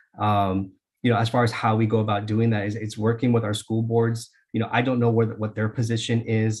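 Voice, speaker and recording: In a somewhat breathy, fairly low-pitched voice, a man speaks at a very fast pace with monotone, flat intonation. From Dixon, California, US. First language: Spanish. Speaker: school board candidate. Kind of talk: candidate interview. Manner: halting, many fillers.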